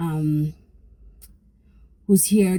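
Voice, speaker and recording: This woman's pitch is fairly low. Her intonation is lively. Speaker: YouTuber. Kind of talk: vlog. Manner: whispering.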